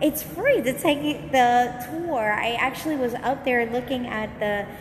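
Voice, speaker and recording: A woman's high-pitched voice comes through with noticeable background noise around it. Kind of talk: casual live-stream chat. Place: hall. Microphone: phone near.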